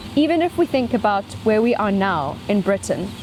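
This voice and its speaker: A woman with a South African accent talks at a moderate pace and medium pitch, her voice swinging very widely in pitch. Noticeable noise sits in the background. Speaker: scientist and speaker on ecology. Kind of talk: lecture.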